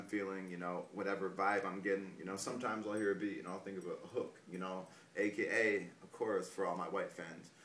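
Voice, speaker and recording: A man talks at a very fast pace with a fairly low pitch and monotone, flat intonation. Noticeable background noise and audible room echo fill the recording. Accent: American. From US Midwest, northeast Ohio. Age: 20s. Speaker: rapper. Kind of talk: interview. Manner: halting, many fillers.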